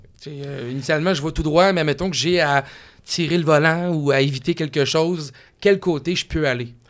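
A man speaks at a moderate pace with fairly even intonation and a fairly high pitch. The recording is very clean, with a silent background. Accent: Quebec. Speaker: radio car podcast host. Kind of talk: casual interview chat.

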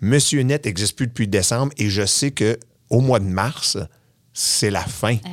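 A man with a Quebec accent speaks at a fairly slow pace on a very clean recording with a silent background. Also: medium pitch for a man, ordinary pitch variation. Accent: Québécois French. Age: 40s. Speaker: podcast host and former music TV host. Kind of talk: casual chat.

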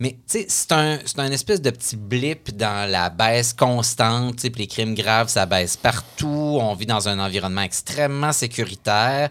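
With music in the background, a man of medium pitch speaks fairly slowly with hardly any pauses and ordinary pitch variation. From Quebec City. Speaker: columnist. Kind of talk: casual interview.

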